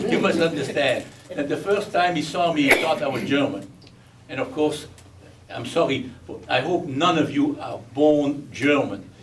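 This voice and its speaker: A Belgian accent with audible room echo and noticeable background noise. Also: man, fairly high pitch for a man, ordinary pitch variation, moderate pace. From Belgium. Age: 80s+. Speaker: war survivor. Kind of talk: testimony.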